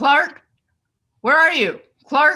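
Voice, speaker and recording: A woman performs in a put-on character voice. Her pitch is high. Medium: audio drama. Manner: terse, commanding.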